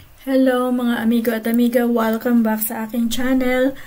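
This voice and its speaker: A woman with a high pitch speaks at a moderate pace in a monotone, flat intonation. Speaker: vlogger. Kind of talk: casual vlog narration.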